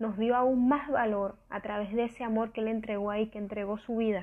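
Her pitch is fairly high, and her intonation fairly even. The woman speaks at a moderate pace. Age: 20s. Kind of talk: devotional talk.

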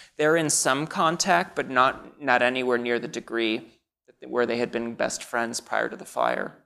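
This man has an American accent and a bright, sharp tone. He talks at a moderate pace with medium pitch and ordinary pitch variation. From US Midwest, Naperville, Illinois (Chicago suburb). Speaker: author. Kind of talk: interview. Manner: halting.

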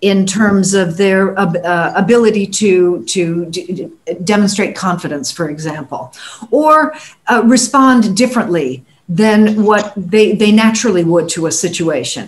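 A woman's somewhat breathy voice at a medium pitch and a fairly slow pace. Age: 60s. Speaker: communications coach and former radio performer. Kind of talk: panel discussion.

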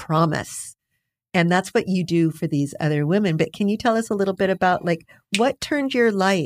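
A woman with an American accent and an ordinary speaking voice, ordinary pitch variation, a dry, close sound without echo, and a very clean recording over a silent background. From US-Mexico borderlands. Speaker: criminal defense lawyer. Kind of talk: interview.

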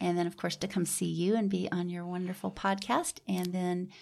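The recording is very clean, with a silent background. A woman speaks at a moderate pace in a medium pitch. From Houston, Texas. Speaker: nonprofit founder. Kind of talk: interview. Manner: animated.

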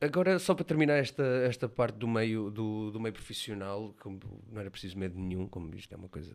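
In a very clean recording with a silent background, a man with a fairly low pitch and lively intonation speaks at a moderate pace. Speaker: student podcast host. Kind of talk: interview.

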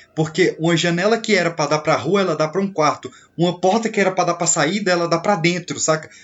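Over noticeable background noise, the speaker talks at a very fast pace with very even loudness and fairly even intonation. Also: man, high pitch for a man. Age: 20s. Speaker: horror film expert. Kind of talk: casual chat.

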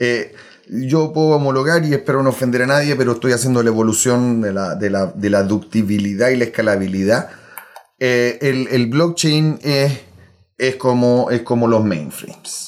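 Here a man talks at a moderate pace. His medium pitch holds very even loudness. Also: ordinary pitch variation. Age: 40s. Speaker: software solutions architect. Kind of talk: casual interview. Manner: halting.

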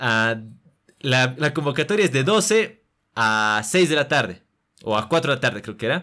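A man with a bright, sharp tone, a fairly slow pace and very wide pitch swings. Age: 20s. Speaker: young filmmaker and actor. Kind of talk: interview. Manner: halting, frequent word repetitions.

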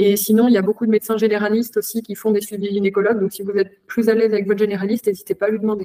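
The sound is dry and close with no echo as a woman speaks very fast at a medium pitch. Her tone is dark and mellow, her intonation flat and monotone. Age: 20s. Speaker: lab technician and adult content creator. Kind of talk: interview testimony. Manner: hesitant, frequent fillers.

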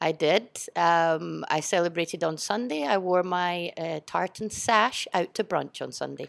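A woman with a strong Scottish accent, a fairly low pitch and hardly any pauses, in a very clean recording with a silent background. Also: ordinary pitch variation, fairly slow pace. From Edinburgh, Scotland. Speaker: school teacher and sports coach. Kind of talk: casual interview. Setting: studio.

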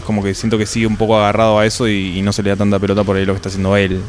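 Over noticeable background noise, a man with an Argentine accent speaks at a fairly low pitch with monotone, flat intonation. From Neuquén, Argentina. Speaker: metal singer. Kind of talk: casual interview chat. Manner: halting, with repetitions.

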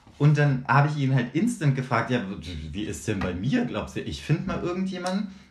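A man speaks at a fairly quick pace with a fairly high pitch and very wide pitch swings. Noticeable background noise and audible room echo fill the recording. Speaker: podcast co-host. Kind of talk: casual chat.

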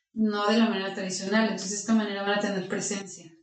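There is audible room echo on this recording. A woman speaks at a medium pitch. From Mexico, Aguascalientes. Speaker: lawyer and agency founder. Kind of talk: interview.

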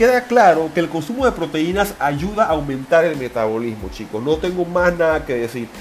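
A man's high, animated voice with very wide pitch swings, plus noticeable background noise and audible room echo. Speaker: personal trainer podcaster. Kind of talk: solo podcast monologue. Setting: gym office.

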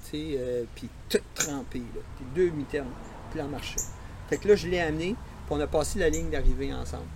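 A man talks at a moderate pace but leaves long, frequent pauses. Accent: Quebec. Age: 60s. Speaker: veteran runner. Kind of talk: casual interview. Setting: outdoors in host's yard.

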